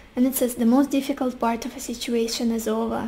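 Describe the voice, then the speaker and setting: A high-pitched woman at a moderate pace, her intonation monotone and flat, with noticeable background noise. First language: Russian. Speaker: tarot reader. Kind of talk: tarot reading.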